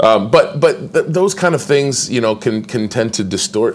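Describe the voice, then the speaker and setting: A man with an American accent talks at a moderate pace and fairly high pitch over noticeable background noise. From Indiana, US Midwest. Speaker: actor. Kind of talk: interview.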